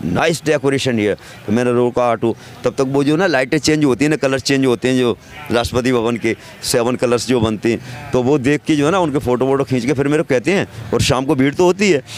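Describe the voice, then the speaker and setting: A man speaks at a very even loudness with music in the background. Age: 60s. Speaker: auto-rickshaw driver. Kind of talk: street interview.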